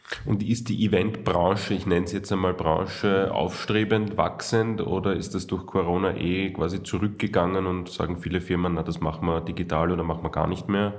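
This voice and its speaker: Over noticeable background noise and audible room echo, a man with a very deep, low pitch talks at a moderate pace with fairly even intonation and hardly any pauses. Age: 30s. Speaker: podcast host. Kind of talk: interview.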